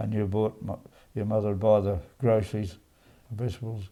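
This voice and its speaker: A man with an Australian accent, fairly low in pitch, dark and mellow in tone, monotone and flat, at a fairly quick pace, on a very clean recording with a silent background. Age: 80s+. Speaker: centenarian interviewee. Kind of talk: life story interview. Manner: halting.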